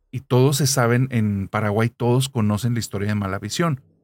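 A man speaking at a moderate pace with music in the background. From Monterrey, northern Mexico. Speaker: podcast narrator. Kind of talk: casual chat with storytelling.

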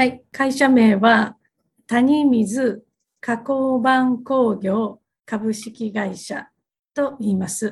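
Her pace is very slow. The woman's fairly high voice keeps a fairly even intonation. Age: 50s. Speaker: company president. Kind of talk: interview. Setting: video call.

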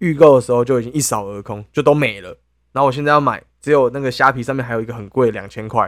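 Spoken at a very fast pace with a Taiwanese accent, this very clean recording has a silent background. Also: man. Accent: Taiwanese Mandarin. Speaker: podcast co-host. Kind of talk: casual chat.

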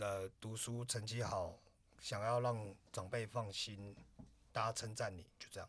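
A man's medium-pitched voice stays monotone and flat in intonation as he talks at a fairly slow pace. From Taiwan, Taipei. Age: 30s. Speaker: podcast co-host, designer. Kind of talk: casual chat.

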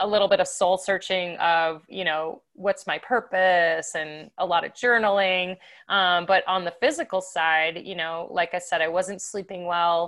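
A woman with an unremarkable speaking voice talks at a fairly slow pace, with a medium pitch and fairly even intonation. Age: 50s. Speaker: professional athlete. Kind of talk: casual chat.

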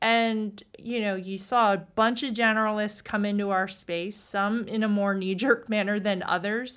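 Speaking with an American accent, a woman has a medium pitch and monotone, flat intonation at a moderate pace with hardly any pauses. The recording is very clean, with a silent background. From US East Coast. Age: 40s. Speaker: venture capitalist. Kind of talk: interview.

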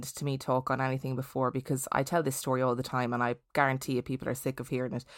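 On a very clean recording with a silent background, a woman with an Irish Midlands accent speaks at a very deep, low pitch. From Ireland, County Laois. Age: 30s. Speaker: podcast host and theatre performer. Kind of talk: casual interview storytelling.

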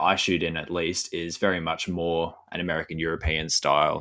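A man talks at a moderate pace with an Australian accent. The recording is very clean with a silent background. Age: 20s. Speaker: landscape photographer. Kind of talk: interview. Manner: hesitant, many fillers; thoughtful.

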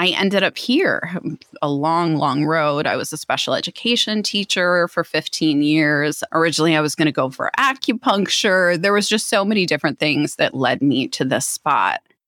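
In an ordinary speaking voice, a woman with a fairly low pitch and an American accent talks at a moderate pace with ordinary pitch variation and very even loudness, on a very clean recording with a silent background. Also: dry, close sound with no echo. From Philadelphia area, US, raised abroad (London, Canada) and Minneapolis. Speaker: psychic medium and spiritual teacher. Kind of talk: interview.

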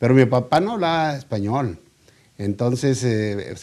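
This man's voice has a dark, mellow tone. The recording is very clean and the background silent. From Mexico, Monterrey. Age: 70s. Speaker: poultry businessman. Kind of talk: interview. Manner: halting, many fillers and repetitions.

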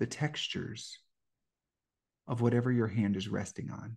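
A man with a medium pitch and a dark, mellow tone talks in a calm, soothing, somewhat breathy way, with long, frequent pauses. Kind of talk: guided meditation. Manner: slow, calm, soothing.

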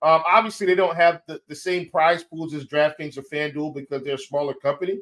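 A man with a fairly high pitch speaks at a fairly quick pace and fairly even intonation. His loudness swings widely. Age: 30s. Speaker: fantasy sports analyst. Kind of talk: casual chat.

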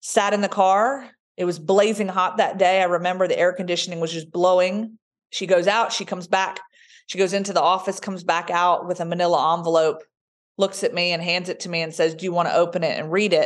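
Speaking at a fairly quick pace in a slight Southern US accent, the voice stays monotone and flat over a quiet background. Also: woman, medium pitch for a woman. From Roanoke, Virginia. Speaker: sports sideline reporter and speaker. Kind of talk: interview, personal storytelling.

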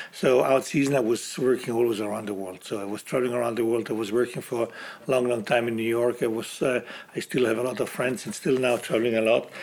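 Against noticeable background noise, a man talks very fast at a medium pitch with fairly even intonation. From South Tyrol, northern Italy. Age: 60s. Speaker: chef. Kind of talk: interview. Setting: at a mountain hotel.

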